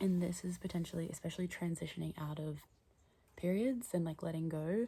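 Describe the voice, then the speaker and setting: This voice is whispering. It is soft-spoken and somewhat breathy. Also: woman. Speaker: astrology and tarot content creator. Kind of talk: casual monologue vlog. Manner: whispering, soft; hesitant, many fillers.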